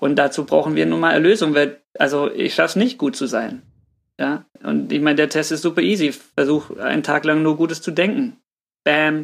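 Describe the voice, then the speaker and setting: This man speaks at a moderate pace with lively intonation, his pitch fairly high and touched with vocal fry. The recording is very clean, with a silent background. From Swabia, southern Germany. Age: 30s. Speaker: pastor. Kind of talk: casual chat.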